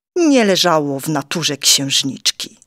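Heard with a dry, close sound and no echo, a woman speaks with very wide pitch swings. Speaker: audiobook narrator. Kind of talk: children's picture book reading.

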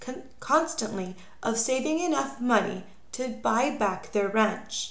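A woman speaks very slowly with lively intonation against noticeable background noise. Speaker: audiobook reader. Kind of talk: reading aloud a children's biography, clear scripted narration. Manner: steady, measured, clear storytelling pace.

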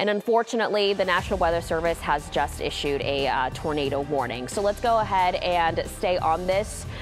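Over clear background music, a woman with a fairly low pitch talks at a moderate pace with ordinary pitch variation. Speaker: broadcast meteorologist. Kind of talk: TV weather broadcast. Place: studio.

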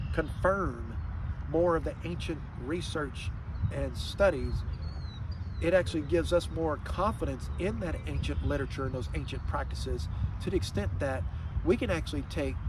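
A man talks with long, frequent pauses. Background noise is noticeable throughout. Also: dry sound with no echo. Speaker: health vlogger. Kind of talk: explanatory monologue. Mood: calm, earnest. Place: waterside. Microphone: phone near.

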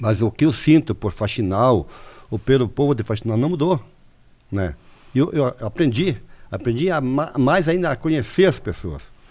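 With vocal fry and lively intonation, a medium-pitched man speaks at a moderate pace, leaving long, frequent pauses. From Santa Catarina, southern Brazil. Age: 60s. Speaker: mayor. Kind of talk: interview.

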